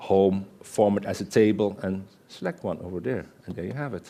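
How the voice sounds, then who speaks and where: A man talks in a Dutch accent with a dark, mellow tone. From Netherlands. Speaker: Excel consultant and conference speaker; conference speaker. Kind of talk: conference presentation with live demo. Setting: stage with audience. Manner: conversational, interactive with audience.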